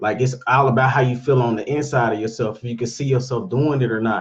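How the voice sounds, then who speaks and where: His pitch sits in the medium range. The man sounds somewhat breathy. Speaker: real estate investor vlogger. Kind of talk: casual daily vlog monologue. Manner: fast; halting, many fillers.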